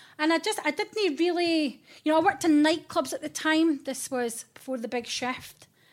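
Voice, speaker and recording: With a high pitch and ordinary pitch variation, this woman speaks with hardly any pauses. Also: moderate pace. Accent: Scottish. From Scotland, Fife. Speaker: radio presenter. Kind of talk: casual chat. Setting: hotel room studio.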